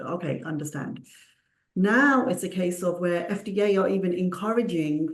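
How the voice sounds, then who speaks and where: A woman with a Punjabi accent speaks at a moderate pace in a fairly low pitch, her intonation lively, with audible room echo. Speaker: clinical research consultant. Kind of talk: panel discussion.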